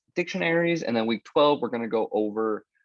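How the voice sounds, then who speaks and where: The background is quiet as a man talks fairly quickly. His pitch varies in an ordinary way. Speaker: programming instructor. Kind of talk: lecture. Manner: casual, filler-heavy; fast.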